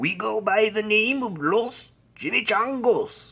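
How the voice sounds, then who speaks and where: This put-on character voice growls at a fairly high pitch. It moves at a fairly slow pace. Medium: read story.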